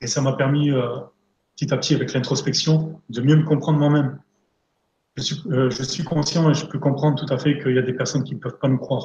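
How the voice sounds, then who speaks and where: There is audible room echo as a man speaks at a fairly quick pace with a fairly high pitch, a dark, mellow tone, a somewhat breathy quality and monotone, flat intonation. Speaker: energy therapist and coach; coach. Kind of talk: live interview, talking about therapy. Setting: live online stream. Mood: calm, earnest. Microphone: video call.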